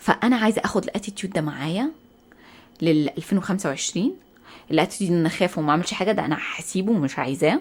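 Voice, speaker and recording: In an Egyptian accent, a woman talks at a very fast pace with a medium pitch, an animated tone and lively intonation on a very clean recording with a silent background. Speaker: podcast host. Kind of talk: casual monologue. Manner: loud.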